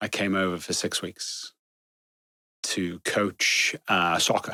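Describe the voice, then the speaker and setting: The sound is dry and close, without any echo. In it, a man talks at a very slow pace. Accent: English. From northwest England (Chester). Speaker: security executive. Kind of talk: interview conversation. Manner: hesitant, many fillers.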